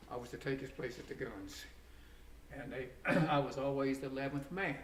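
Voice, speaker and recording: Rather high male speech at a medium tempo amid noticeable background noise and audible echo from the room. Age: 80s+. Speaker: war veteran. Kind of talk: interview. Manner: halting.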